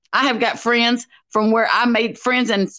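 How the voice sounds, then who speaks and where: Over a quiet background comes an animated voice with a Southern US accent and a bright, sharp tone. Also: woman. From US South. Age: 50s. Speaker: YouTube commentator. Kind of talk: angry rant vlog. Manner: confrontational. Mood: angry, accusatory. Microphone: video call.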